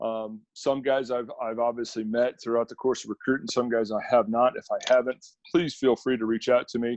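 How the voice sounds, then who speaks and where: A man with an American accent talks at medium pitch in a monotone, flat intonation, with hardly any pauses. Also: dry, close sound with no echo. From central Wisconsin, Stevens Point. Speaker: college football defensive coordinator. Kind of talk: coaching clinic presentation. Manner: fast.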